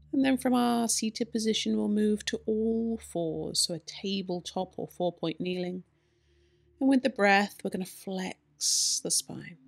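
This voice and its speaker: With quiet behind her, a female speaker goes at a fairly slow pace, her pitch varying in an ordinary way. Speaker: yoga teacher. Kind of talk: guided yoga instruction. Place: home room.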